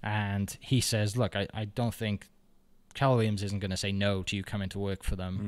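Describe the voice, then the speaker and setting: A fairly quick pace and monotone, flat intonation with a Welsh accent, in a very clean recording with a silent background. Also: man, fairly low pitch for a man. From Wales, Bridgend. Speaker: realtor and podcaster. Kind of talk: casual interview chat.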